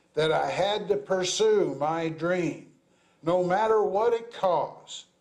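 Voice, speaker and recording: A man with an American accent speaks very slowly at a high pitch with ordinary pitch variation, and room echo is audible. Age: 60s. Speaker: pastor. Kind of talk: sermon.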